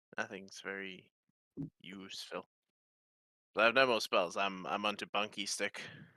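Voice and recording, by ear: With a bright, sharp tone, a man speaks at a fairly low pitch and moderate pace, his intonation fairly even.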